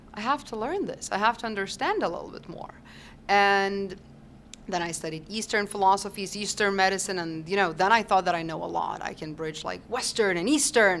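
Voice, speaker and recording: With a Lithuanian accent, a woman talks at a fairly quick pace. Her loudness swings widely, while her pitch variation is ordinary. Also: medium pitch for a woman. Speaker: holistic health doctor and teacher. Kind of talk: podcast interview.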